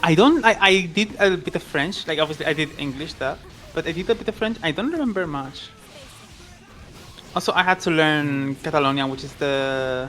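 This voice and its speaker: At a fairly quick pace but with long, frequent pauses, the speaker talks in a Spanish accent over background music. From Spain, Andalusia. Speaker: tournament commentator. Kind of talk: casual chat.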